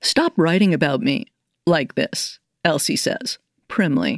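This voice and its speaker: Recorded very cleanly against a silent background with a dry, close sound and no echo, a woman in a plain, everyday voice speaks at a fairly slow pace with fairly low pitch and lively intonation. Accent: American. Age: 60s. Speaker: poet and professor. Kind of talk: interview.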